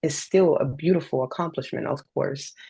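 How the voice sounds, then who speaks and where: Vocal fry runs through a woman's speech at a fairly quick pace. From Dominican Republic. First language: Spanish. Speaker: poet and self-published author. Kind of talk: interview.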